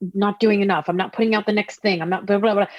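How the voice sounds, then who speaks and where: A woman talks at a medium pitch with a New Jersey accent. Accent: New Jersey American. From New Jersey, US. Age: 40s. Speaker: singer-songwriter. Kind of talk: casual interview chat. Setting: video call.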